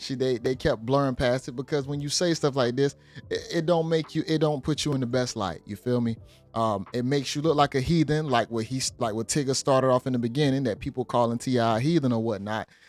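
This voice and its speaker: Very fast speech from a man, with background music. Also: medium pitch for a man, ordinary pitch variation. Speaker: reaction video commentator. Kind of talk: reaction commentary.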